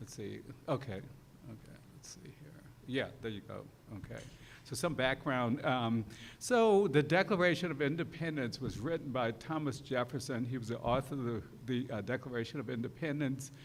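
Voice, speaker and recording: Loudness swings widely while pitch moves in an ordinary way, with audible echo from the room. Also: man, medium pitch for a man. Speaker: law professor. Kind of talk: lecture. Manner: fast; hesitant, many fillers.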